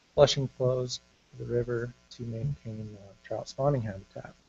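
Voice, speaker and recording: Music plays in the background behind a man. His pitch is medium and his pace moderate. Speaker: fisheries biologist presenting to commission. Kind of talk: formal presentation.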